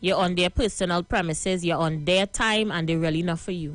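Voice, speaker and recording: Music plays behind a woman speaking at a fairly quick pace in a Trinidadian accent. Her pitch is fairly low and her tone is animated. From Trinidad and Tobago. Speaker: live stream host. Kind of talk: live stream monologue.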